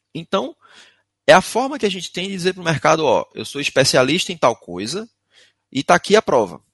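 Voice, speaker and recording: In a dry, close sound with no echo, a man speaks at a high pitch with very wide pitch swings and long, frequent pauses. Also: big swings in loudness, quiet background. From Recife, Pernambuco, northeast Brazil. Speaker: IT security instructor. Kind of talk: webinar presentation.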